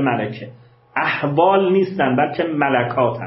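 A man talks at a fairly slow pace with a fairly high pitch and lively intonation. Noticeable background noise and audible room echo fill the recording. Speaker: philosophy professor. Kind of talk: lecture with text reading.

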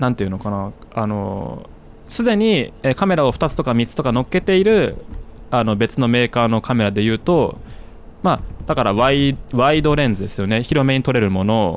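Here a man speaks at medium pitch and a moderate pace. His intonation is lively. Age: 20s. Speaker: podcast host and YouTuber. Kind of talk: casual chat.

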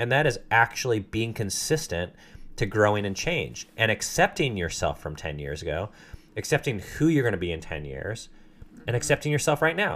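Showing vocal fry, a man at medium pitch speaks at a moderate pace with very wide pitch swings. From Southern California. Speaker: podcast host. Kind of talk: casual chat. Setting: home basement studio.

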